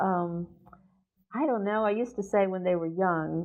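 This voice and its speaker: A woman with an American accent speaks at a moderate pace with fairly even intonation. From US South. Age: 60s. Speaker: poet and professor. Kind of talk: interview. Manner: halting.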